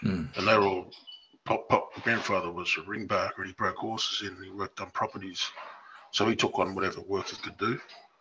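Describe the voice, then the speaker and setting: Over noticeable background noise, a man speaks at a fairly quick pace, his loudness swinging widely. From New England tablelands, NSW, Australia. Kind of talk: casual chat. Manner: halting.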